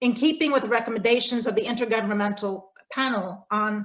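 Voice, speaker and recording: A woman talks in an ordinary speaking voice with an American accent at a moderate pace. Her pitch is fairly high, with ordinary pitch variation. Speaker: respondent to a lecture, corporate responsibility academic. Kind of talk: academic response talk.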